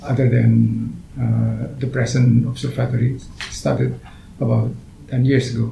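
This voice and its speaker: Speaking very slowly in an Indonesian accent, a man is heard with audible room echo and noticeable background noise. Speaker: astronomer. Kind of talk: interview. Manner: halting.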